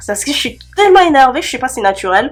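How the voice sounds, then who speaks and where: An animated tone from a woman. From Cameroon. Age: 20s. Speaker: beauty youtuber. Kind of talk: casual Q&A vlog. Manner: chatty, animated; hesitant fillers.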